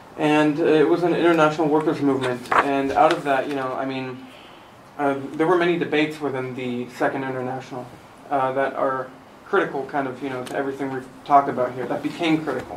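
Amid noticeable background noise and audible room echo, a man rushes along at a very fast pace with a fairly high pitch and fairly even intonation. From Germany. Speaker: translator, recent graduate. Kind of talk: panel discussion.

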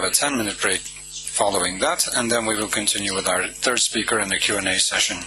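Fairly quick speech in a dry sound with no echo, against noticeable background noise. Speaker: panel moderator. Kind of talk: formal introduction. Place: hall. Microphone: podium.

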